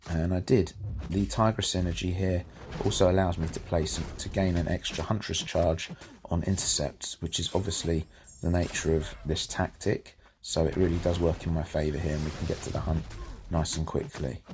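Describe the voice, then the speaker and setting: A man with a British accent at a moderate pace, with ordinary pitch variation. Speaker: gaming YouTuber. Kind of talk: gameplay commentary. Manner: casual, self-correcting with false starts.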